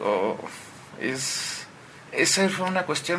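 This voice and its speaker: Lively male intonation amid noticeable background noise. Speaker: newspaper editor. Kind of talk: casual chat. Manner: calm, soothing.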